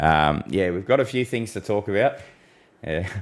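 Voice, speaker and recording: In a very clean recording with a silent background, a man with an Australian accent speaks at a moderate pace in a very deep, low pitch. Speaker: weather forecaster. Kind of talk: live stream discussion. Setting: live stream. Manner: quiet; frequent small coughs.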